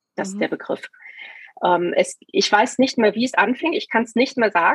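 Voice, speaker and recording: A woman with an unremarkable speaking voice talks at a fairly quick pace with lively intonation, recorded dry and close with no echo. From Hesse, Germany (Taunusstein near Wiesbaden). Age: 50s. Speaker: scoliosis patient. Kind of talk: interview testimony.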